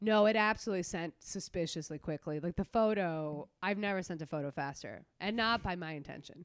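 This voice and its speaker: In an ordinary speaking voice, a woman talks at a fairly quick pace with hardly any pauses, her pitch fairly low and its variation ordinary. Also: very clean recording, silent background. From New York City (Queens), Latin immigrant family. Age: 20s. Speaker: comedian. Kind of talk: casual chat. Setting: in her apartment.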